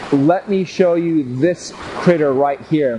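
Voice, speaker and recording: Loud and at a high pitch, a man speaks at a very slow pace with ordinary pitch variation over noticeable background noise. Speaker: gardening show host. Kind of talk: casual video show talk. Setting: outdoors in the rain. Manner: animated.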